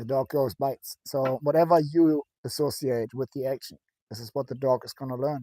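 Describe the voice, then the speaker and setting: A man with a German accent speaks at a moderate pace, the sound dry and close with no echo in a very clean recording with a silent background. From Germany. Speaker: dog trainer, former soldier. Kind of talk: casual chat.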